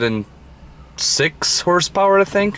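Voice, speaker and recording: Amid noticeable background noise, a man with a Brazilian Portuguese accent speaks with ordinary pitch variation. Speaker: car enthusiast vlogger. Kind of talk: casual walkaround vlog. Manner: halting, many fillers.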